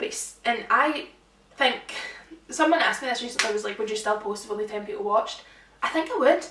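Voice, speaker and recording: In a Scottish accent, a woman talks very fast at a high pitch with lively intonation, amid noticeable background noise and audible room echo. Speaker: social media influencer. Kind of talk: casual chat. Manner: animated.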